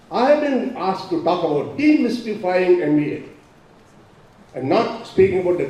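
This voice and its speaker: A man speaks at a moderate pace in a high pitch with very wide pitch swings. The recording has audible room echo and noticeable background noise. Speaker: professor. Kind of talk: speech. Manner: loud.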